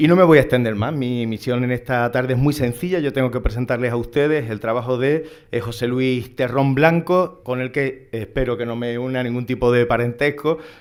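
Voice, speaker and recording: With an Andalusian accent, a man of medium pitch talks at a fairly quick pace with fairly even intonation and hardly any pauses. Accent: Andalusian (Seville). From Andalusia, Seville. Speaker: academic moderator. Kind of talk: conference introduction.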